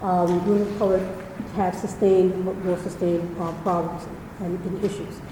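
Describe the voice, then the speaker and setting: A woman with an American accent speaks at a fairly quick pace and a medium pitch. Noticeable background noise and audible room echo surround her. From New York. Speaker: former diplomat and nonprofit founder. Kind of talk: public talk. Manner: fast. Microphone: too quiet, then handheld mic.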